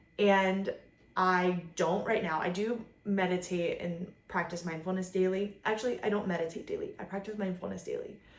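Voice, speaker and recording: A woman speaks at medium pitch and a moderate pace. Her intonation is monotone and flat, with audible room echo. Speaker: vlogger, mother. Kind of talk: casual monologue to camera. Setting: filming at home. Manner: casual, filler-heavy.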